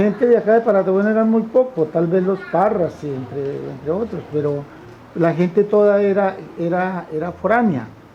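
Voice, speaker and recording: Amid noticeable background noise, a man with a high pitch and ordinary pitch variation speaks at a moderate pace. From Colombia, Tolima (Purificación). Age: 70s. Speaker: farmer. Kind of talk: testimony.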